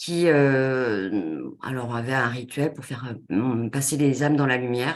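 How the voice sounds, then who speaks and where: Speaking at a very slow pace, a woman uses a very deep, low pitch. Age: 30s. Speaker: consultant and coach. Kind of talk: webinar presentation. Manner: halting, many fillers.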